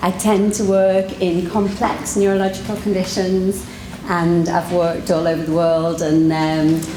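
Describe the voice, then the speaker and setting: Fairly low-pitched and monotone, a woman talks at a fairly slow pace with very even loudness, amid audible room echo and noticeable background noise. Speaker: physiotherapist. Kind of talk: conference talk. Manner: halting.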